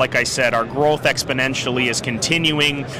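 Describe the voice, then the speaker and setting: A man speaks rather quickly while clear background noise can be heard. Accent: American. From northeastern Pennsylvania. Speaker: cigar company representative. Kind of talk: trade show interview. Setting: trade show floor.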